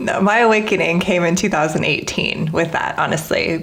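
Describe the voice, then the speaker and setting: Fairly quick speech with audible room echo and noticeable background noise. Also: woman. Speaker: podcast host. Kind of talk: interview conversation. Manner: fast.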